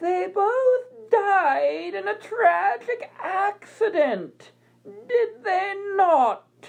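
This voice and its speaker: In a put-on character voice, a woman talks very slowly at an extremely high pitch. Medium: read story. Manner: questioning, controlled.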